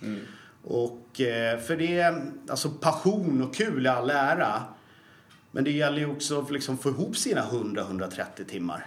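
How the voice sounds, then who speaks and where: With noticeable background noise and audible room echo, a man talks at a moderate pace. His fairly high voice has lively intonation and long, frequent pauses. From Sweden, Falun (Dalarna). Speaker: personal trainer and fitness educator. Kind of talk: casual interview.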